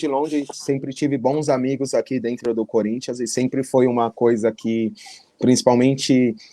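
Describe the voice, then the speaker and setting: This man has a normal speaking voice at a medium pitch, talking at a fairly slow pace with fairly even intonation. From São Paulo metro area, Carapicuíba. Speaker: futsal player. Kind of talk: interview.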